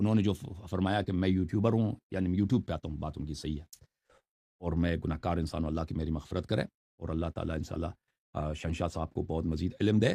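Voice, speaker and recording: In a stern, dark, mellow tone with ordinary pitch variation, the voice comes through on a very clean recording with a silent background. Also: man, very deep, low pitch for a man. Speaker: Shia religious scholar and YouTuber. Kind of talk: interview answering questions on religion. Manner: harsh, stern tone; stammers on some words.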